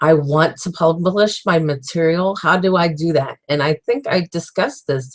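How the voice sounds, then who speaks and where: Moderately paced speech comes in a somewhat breathy voice whose pitch varies in an ordinary way. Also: woman. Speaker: author and web series host. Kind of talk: casual video diary monologue. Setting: livestream chat. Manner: halting, with many fillers and restarts.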